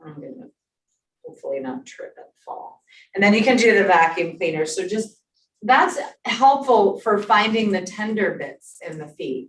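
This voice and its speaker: A woman with a fairly high voice speaks at a moderate pace, with vocal fry. Her pitch swings very widely, and her loudness shifts a lot. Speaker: exercise instructor. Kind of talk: exercise class instruction. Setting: in-person class also streamed on Zoom. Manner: clear.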